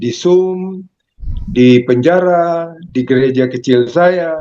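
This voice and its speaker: The speaker is a man. His tone is dark and mellow. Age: 80s+. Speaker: lay minister. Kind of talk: casual self-introduction. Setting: video call.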